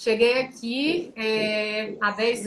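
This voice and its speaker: Her pitch is fairly high. This woman keeps her intonation fairly even. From Brazil, Teresina, Piauí. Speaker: tax lawyer and entrepreneur. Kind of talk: live-stream interview. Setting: online live stream.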